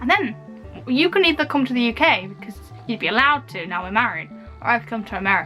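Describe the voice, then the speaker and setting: Over music in the background, a woman talks at a very fast pace in an upbeat tone. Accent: English. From United Kingdom. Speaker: video blogger. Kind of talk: casual Q&A talk to camera. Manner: chatty, upbeat.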